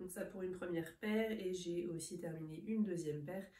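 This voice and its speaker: Her tone dark and mellow, a woman speaks at a fairly low pitch with fairly even intonation. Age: 30s. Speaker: knitting podcaster. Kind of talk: casual vlog chat. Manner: hesitant, frequent 'euh' fillers.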